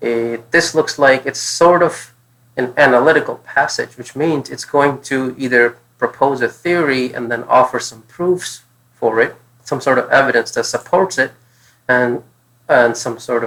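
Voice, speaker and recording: Speaking at a moderate pace with a non-native accent, a man has a medium pitch, ordinary pitch variation and a bright, sharp tone. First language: not English. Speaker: test prep tutor. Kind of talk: tutorial. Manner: thinking aloud, casual.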